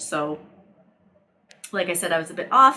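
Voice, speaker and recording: Her tone is bright and sharp as the woman speaks. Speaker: knitting podcaster. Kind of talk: casual chat. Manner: casual, with fillers.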